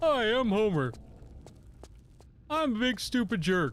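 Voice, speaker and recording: This put-on character voice sits at a fairly high pitch and moves at a fairly slow pace. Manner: imitation, put-on cartoon voice.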